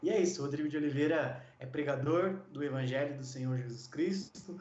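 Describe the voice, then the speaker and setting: A man's fairly high, somewhat breathy voice at a moderate pace, fairly even in intonation, with audible room echo. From Brazil, São Paulo. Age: 40s. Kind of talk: interview; sermon.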